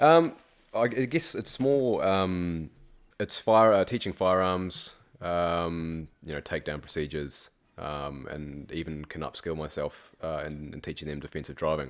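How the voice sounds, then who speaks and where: Lively intonation at a fairly slow pace, with big swings in loudness. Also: man, very deep, low pitch for a man. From South Africa / New Zealand. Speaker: teacher. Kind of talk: casual chat.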